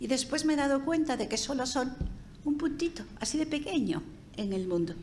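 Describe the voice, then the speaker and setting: Her pitch high and swinging very widely, a woman speaks with audible room echo around her voice. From Spain. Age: 80s+. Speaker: sociologist speaker. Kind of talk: seminar talk.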